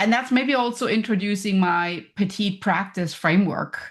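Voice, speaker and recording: Somewhat breathy speech in a German accent comes at a moderate pace. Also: woman. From Germany. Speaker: professor and business coach. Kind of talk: podcast interview. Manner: energetic.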